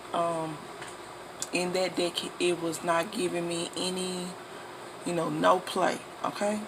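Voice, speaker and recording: The speech moves at a fairly slow pace, broken by long, frequent pauses. Noticeable background noise sits behind it. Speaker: tarot reader. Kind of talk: tarot reading monologue.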